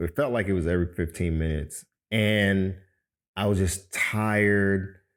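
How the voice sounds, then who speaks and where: An unremarkable speaking voice moves at a moderate pace with ordinary pitch variation. The recording is very clean, with a silent background. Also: man. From Miami, Florida. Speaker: podcast host. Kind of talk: personal testimony. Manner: casual, conversational.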